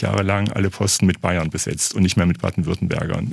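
A man's very deep, low-pitched voice at a fairly quick pace, with noticeable background noise. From Thuringia, eastern Germany. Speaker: literature professor. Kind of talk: radio interview.

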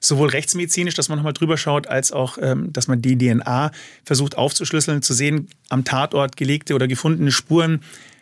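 A man talks at a fairly quick pace in a normal speaking voice, fairly high in pitch. The recording is very clean, with a silent background. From Munich. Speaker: forensic pathologist. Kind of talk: interview.

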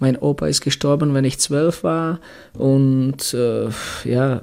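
A man with a Czech accent, fairly high in pitch, speaking very slowly with fairly even intonation. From Czech Republic, Litvínov. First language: Czech (speaking German). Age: 40s. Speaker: former ice hockey player and coach. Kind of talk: interview. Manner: halting.

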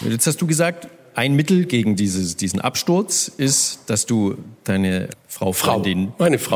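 A man at a fairly slow pace, with very wide pitch swings and very even loudness. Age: 50s. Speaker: radio host. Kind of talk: live stage interview. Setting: stage with audience.

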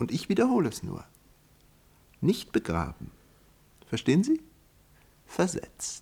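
A man puts on a character voice pitched fairly high for a man, with a dark, mellow tone, a slightly husky edge and vocal fry, swinging very widely in pitch at a fairly slow pace.

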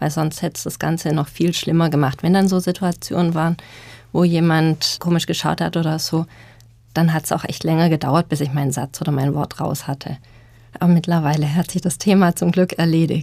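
A woman speaks in a fairly low pitch with a dark, mellow tone. Her delivery is fairly quick and monotone, with flat intonation. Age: 30s. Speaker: social psychologist. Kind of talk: panel discussion.

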